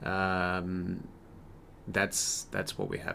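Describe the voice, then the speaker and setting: A man with a very deep, low pitch. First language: not English. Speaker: gaming YouTuber. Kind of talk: casual gameplay commentary. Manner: halting, many fillers and repeats.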